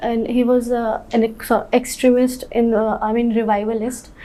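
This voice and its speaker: A woman's fairly high, monotone, flat voice at a fairly slow pace, with audible room echo and noticeable background noise. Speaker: civil service candidate. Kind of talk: job interview. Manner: halting.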